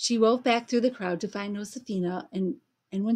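Quiet background behind a natural reading voice

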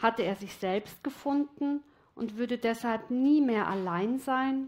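Soft-spoken and fairly high-pitched, a woman talks at a very slow pace with ordinary pitch variation. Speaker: storyteller. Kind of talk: story narration, reading a fairy tale aloud. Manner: slow, dreamy, soft and flowing. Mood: calm, reflective. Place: studio. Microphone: headset.

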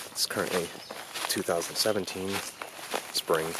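The man's dry sound has no echo, though loud background noise surrounds him. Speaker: urban explorer vlogger. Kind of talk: casual vlog commentary. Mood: wary, slightly uneasy. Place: forest. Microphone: phone near.

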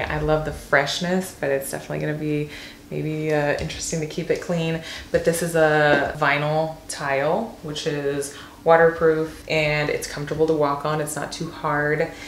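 A woman's low-pitched voice, fairly slow and with few pauses, fairly even intonation, and audible room echo.

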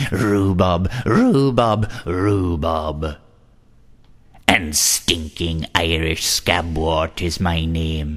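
A croaky, put-on character voice from a man, very deep and low in pitch, at a very slow pace. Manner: muttering, croaking.

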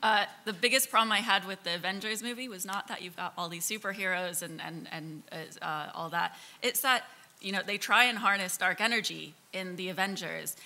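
A woman speaks at a moderate pace with an American accent, her tone bright and sharp. Her loudness swings widely while her pitch varies in an ordinary way. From Kansas. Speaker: interaction designer and science hacking organizer; panelist. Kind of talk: panel discussion. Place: hall.

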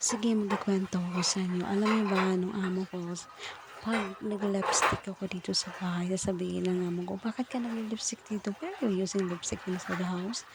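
Noticeable background noise sits behind a woman whose intonation stays fairly even. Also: medium pitch for a woman, fairly quick pace. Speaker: domestic helper vlogger. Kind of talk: vlog voice-over. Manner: casual, chatty.

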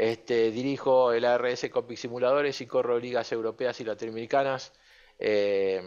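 A man's fairly slow speech with monotone, flat intonation. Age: 50s. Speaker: sim racing coach. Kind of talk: online masterclass lecture.

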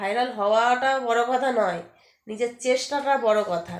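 A high-pitched woman's voice with ordinary pitch variation and audible room echo. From West Bengal, Howrah district (Uluberia). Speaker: social media video creator, homemaker. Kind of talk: casual vlog talk to followers.

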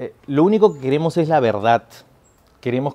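A man's fairly high voice with a dark, mellow tone and ordinary pitch variation. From Peru. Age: 30s. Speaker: actor. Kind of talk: political testimonial to camera; interview answer. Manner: halting with many fillers. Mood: earnest, concerned. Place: garden.

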